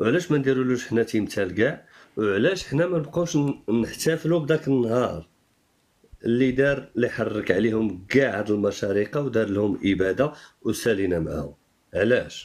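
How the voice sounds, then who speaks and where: At a moderate pace, a man uses a plain, everyday voice with a medium pitch and lively intonation. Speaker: Amazigh activist. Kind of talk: casual discussion.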